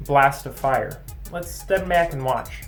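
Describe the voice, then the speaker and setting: Fairly slow speech from a man, backed by music. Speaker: maker. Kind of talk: casual build tutorial to camera. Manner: relaxed, hesitant.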